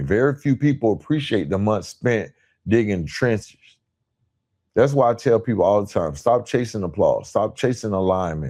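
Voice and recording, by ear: Here a man speaks at a moderate pace, his pitch fairly low. His tone is slightly mellow.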